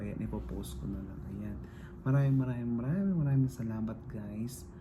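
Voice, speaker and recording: A man speaks quietly. Room echo is audible. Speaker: vlogger. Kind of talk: casual vlog talk. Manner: quiet, lowered voice; halting, filler-heavy.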